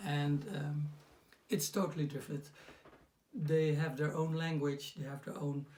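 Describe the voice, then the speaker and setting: Somewhat breathy and fairly high, a man's voice moves at a fairly slow pace. The intonation is fairly even. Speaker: personal development coach. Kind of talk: casual talk to camera. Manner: hesitant, many fillers.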